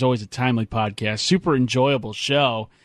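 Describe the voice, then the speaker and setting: Music plays in the background as a man speaks fairly quickly. His pitch varies in an ordinary way. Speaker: radio sports host. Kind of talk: sports talk radio banter with news-style recap. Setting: radio studio. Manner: brisk, animated, punchy play-by-play style; playful, jokey.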